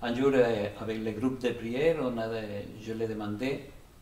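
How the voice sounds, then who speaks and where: A man with a Spanish accent at a very slow pace, with audible room echo and noticeable background noise. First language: Spanish (speaking French). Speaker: Salvation Army officer, pastor. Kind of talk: testimony. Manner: halting, many repetitions.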